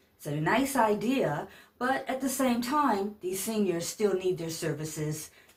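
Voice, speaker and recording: A woman's medium-pitched, somewhat breathy voice with an American accent, very wide pitch swings and a fairly slow pace. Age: 60s. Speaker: vlogger, senior pageant titleholder and caregiver. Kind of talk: casual vlog rant. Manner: animated.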